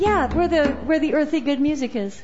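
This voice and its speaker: Over crowd noise in the background, a woman talks at a moderate pace with a high pitch. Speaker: open mic host. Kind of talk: casual live hosting, MC banter. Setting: live coffee house with audience.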